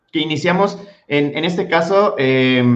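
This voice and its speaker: A man speaks with ordinary pitch variation. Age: 30s. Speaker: podcast co-host, teacher. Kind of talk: interview. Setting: video call livestream.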